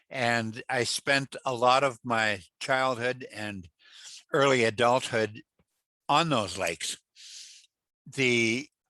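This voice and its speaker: Recorded dry and close with no echo against a quiet background, a man with an Upper Midwest accent speaks at medium pitch in a bright, sharp tone with ordinary pitch variation. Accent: Upper Midwest American. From northern Minnesota, Ely. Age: 70s. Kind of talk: interview.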